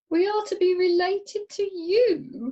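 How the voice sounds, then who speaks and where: Putting on a squeaky character voice at an extremely high pitch, a woman speaks at a fairly slow pace with lively intonation. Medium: audio drama. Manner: snide, disdainful.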